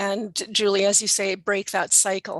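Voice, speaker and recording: Bright and sharp in tone, a woman's medium-pitched voice comes through with a dry, close sound and no echo. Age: 60s. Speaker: holistic well-being speaker. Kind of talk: panel discussion.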